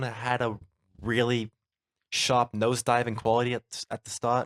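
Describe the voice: At a moderate pace, a man speaks at medium pitch in a dry, close sound with no echo.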